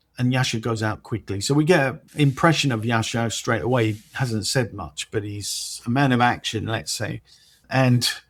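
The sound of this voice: An unforced reading voice is what the speaker uses here.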